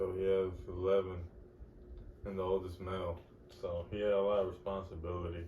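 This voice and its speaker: A man's very deep, low, somewhat breathy voice in monotone, flat intonation at a fairly quick pace, with long, frequent pauses and audible room echo. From Texas, Fort Worth. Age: 30s. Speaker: podcast host. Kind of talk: casual monologue.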